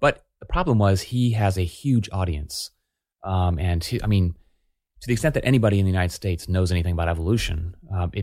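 Very fast, somewhat breathy man with a very deep, low pitch, ordinary pitch variation and an American accent, on a very clean recording with a silent background. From Oklahoma (Tulsa). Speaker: psychology professor. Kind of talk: interview.

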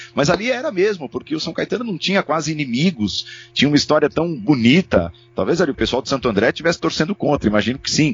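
A man's fairly high voice at a very fast pace with hardly any pauses and very wide pitch swings, over music in the background. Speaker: sports commentator and narrator. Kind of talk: casual chat.

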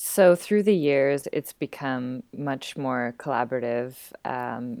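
In a very clean recording with a silent background, a woman speaks at a fairly slow pace with a very deep, low pitch. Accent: western Canadian. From Vancouver, western Canada. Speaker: burlesque performer and teacher. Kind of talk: interview.

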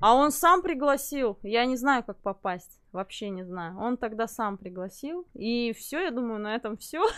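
A woman with an unremarkable speaking voice and a fairly high pitch talks at a fairly slow pace with hardly any pauses. Her intonation is lively, her loudness swings widely, and the recording is very clean with a silent background. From Buryatia, Russia. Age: 40s. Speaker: psychologist. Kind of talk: live stream interview. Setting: live stream with lapel mics.

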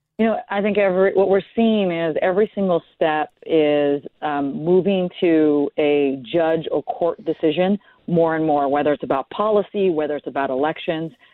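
Using a plain, everyday voice, a woman talks at a fairly low pitch and moderate pace with ordinary pitch variation. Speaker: political commentator. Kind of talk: political roundtable discussion.

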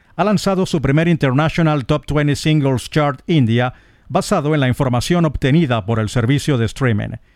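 A normal speaking voice from a man, fairly high in pitch, with ordinary pitch variation at a moderate pace. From eastern Venezuela. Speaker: radio host. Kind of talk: radio music show presentation.

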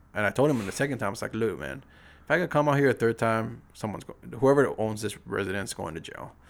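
Speaking very fast with vocal fry, a man at medium pitch uses lively intonation and big swings in loudness. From Saipan, Northern Mariana Islands. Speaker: police officer and motorcycle vlogger. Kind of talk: casual chat.

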